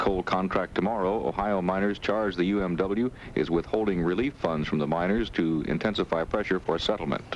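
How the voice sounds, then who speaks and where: Noticeable background noise sits behind a man speaking at a very fast pace. His pitch is very deep and low, with ordinary variation. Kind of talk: radio news anchor reading network newscast. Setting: vintage 1970s radio broadcast.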